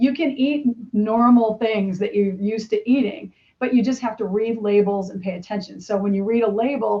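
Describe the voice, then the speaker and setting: A woman's somewhat breathy voice at a fairly quick pace, with ordinary pitch variation. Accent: American. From Bradford, Pennsylvania. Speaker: health coach and personal trainer. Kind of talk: podcast interview answer. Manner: casual, conversational.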